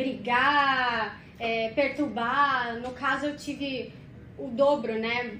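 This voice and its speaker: Audible room echo and noticeable background noise surround a woman speaking at a high pitch with fairly even intonation. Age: 30s. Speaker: corporate communications specialist. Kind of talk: podcast interview.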